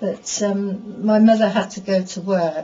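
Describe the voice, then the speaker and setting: Against noticeable background noise, a woman speaks at a medium pitch with an English accent. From England. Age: old. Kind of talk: interview answer. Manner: conversational, reminiscing.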